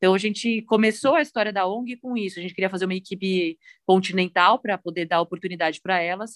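A woman talks at a very fast pace, her medium pitch moving with ordinary variation. The sound is dry and close with no echo. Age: 30s. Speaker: professional cyclist. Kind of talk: interview.

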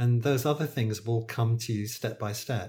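A man with a British accent speaks at a medium pitch with fairly even intonation and a somewhat breathy quality, on a very clean recording with a silent background. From United Kingdom. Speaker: acupuncturist and author. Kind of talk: interview.

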